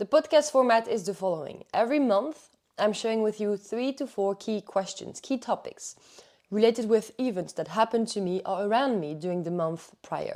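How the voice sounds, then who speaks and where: Speaking at a moderate pace, a woman uses a dark, mellow tone and lively intonation. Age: 20s. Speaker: athlete and mindset coach. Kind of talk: podcast monologue.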